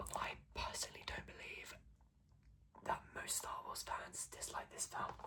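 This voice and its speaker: Someone whispers at a fairly quick pace. Noticeable background noise sits behind the voice. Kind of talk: ASMR ramble to camera. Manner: soft, casual, chatty.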